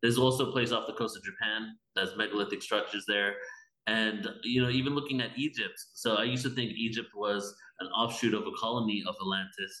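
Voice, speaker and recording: In an American accent, a man with a normal speaking voice talks fairly quickly at a medium pitch, his intonation fairly even. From England, then California from age 12. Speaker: spiritual event organizer. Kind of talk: casual interview.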